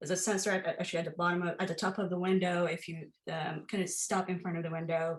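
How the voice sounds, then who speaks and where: Very fast and with hardly any pauses, a woman speaks in a fairly low, somewhat breathy voice with monotone, flat intonation. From Iran. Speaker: artist and teacher. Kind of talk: artist talk. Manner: halting, many fillers.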